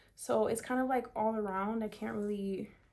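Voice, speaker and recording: Speaking at a fairly slow pace, a woman with a fairly high pitch and ordinary pitch variation uses a plain, everyday voice. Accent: American. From South Florida. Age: 20s. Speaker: beauty vlogger. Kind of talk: tutorial with Q&A. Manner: casual, filler-heavy.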